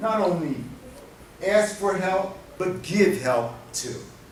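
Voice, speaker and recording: Someone with a New Jersey accent speaks at a very slow pace, with noticeable background noise and audible room echo. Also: man. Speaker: domestic violence prevention specialist. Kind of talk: conference workshop talk. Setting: convention center workshop. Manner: animated.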